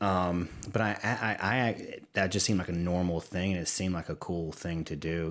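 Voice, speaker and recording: A man with a Southern US accent talks at a fairly quick pace in a very deep, low voice. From Louisiana, Livingston Parish. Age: 40s. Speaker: creative executive and war veteran. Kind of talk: podcast interview. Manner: halting, many repeats.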